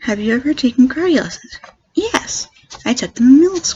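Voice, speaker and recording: At a fairly quick pace, a woman speaks in a high pitch with an American accent. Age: 20s. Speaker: YouTuber. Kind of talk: Q&A tag video. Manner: fast.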